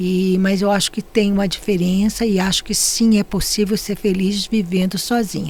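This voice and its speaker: A woman's monotone, flat delivery at medium pitch and moderate pace, with hardly any pauses. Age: 70s. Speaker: podcast guest. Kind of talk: conversational interview.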